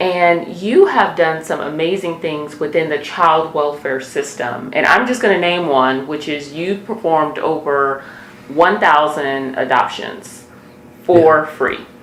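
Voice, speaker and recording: A woman with a very deep, low pitch and ordinary pitch variation at a fairly slow pace, over noticeable background noise. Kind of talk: interview host.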